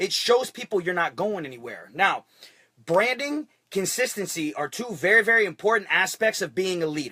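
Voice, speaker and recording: Energetic and projected, a man's raised voice has a bright, sharp tone and lively intonation. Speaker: network marketing team leader. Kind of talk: live stream motivational talk. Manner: fast; energetic, repetitive.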